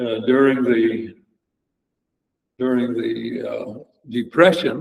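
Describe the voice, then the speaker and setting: At a very slow pace, a man with an American accent speaks at medium pitch with ordinary pitch variation. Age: 90s. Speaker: local elder sharing family history. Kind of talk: oral history talk. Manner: halting.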